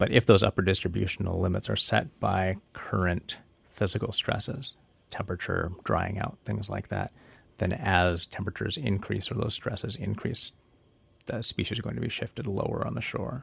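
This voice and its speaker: The speech comes at a moderate pace with vocal fry. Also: man, fairly low pitch for a man, ordinary pitch variation, very clean recording, silent background. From Southeast Alaska (Petersburg). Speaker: ecology professor. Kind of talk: casual interview conversation. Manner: frequent filler words (um, you know).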